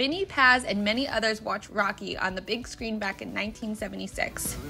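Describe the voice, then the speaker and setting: A woman speaks with a fairly high pitch. Hers is a plain, everyday voice. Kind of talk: news voiceover narration.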